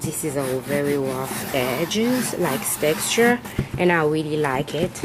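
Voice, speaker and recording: A woman's very deep, low voice with very wide pitch swings, fairly slow, amid noticeable background noise. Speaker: craft video maker. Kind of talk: tutorial. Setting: craft room at home. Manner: halting.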